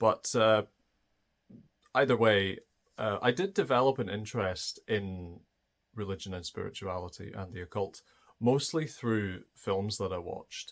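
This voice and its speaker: Someone with a Scottish accent speaks at a fairly slow pace with ordinary pitch variation, big swings in loudness, and long, frequent pauses, on a very clean recording with a silent background. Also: man, fairly low pitch for a man. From Scotland. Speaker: spiritual video creator. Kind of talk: personal monologue. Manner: hesitant, many fillers.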